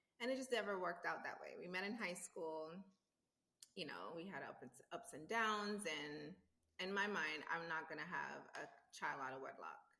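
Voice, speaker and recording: A woman speaks with a fairly low pitch and a bright, sharp tone. Room echo is audible. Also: moderate pace. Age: 40s. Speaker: interview guest. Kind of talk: casual interview chat.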